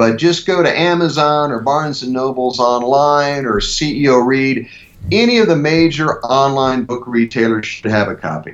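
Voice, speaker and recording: With an American accent, a man talks at a moderate pace and medium pitch, using ordinary pitch variation. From US Midwest, rural Ohio. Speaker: leadership speaker and author. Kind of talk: interview.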